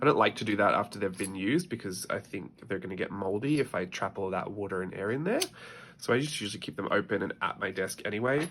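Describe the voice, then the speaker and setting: The intonation is lively. The pace is very fast. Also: man, fairly low pitch for a man. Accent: Australian. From Australia. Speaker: artist. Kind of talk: casual talk to camera. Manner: chatty.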